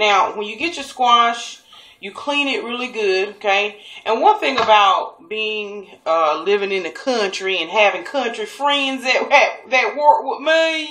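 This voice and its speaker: A woman with a Southern US accent, fairly high pitch, lively intonation, big swings in loudness and a fairly slow pace over noticeable background noise. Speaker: cooking show host. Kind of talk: cooking tutorial. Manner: casual, chatty.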